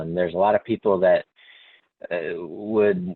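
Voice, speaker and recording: This is a man speaking. He has a Texas accent. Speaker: company manager. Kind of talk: panel discussion.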